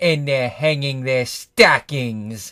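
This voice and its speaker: A man's growling put-on character voice at medium pitch, in a very clean recording with a silent background. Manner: snarling, sneering.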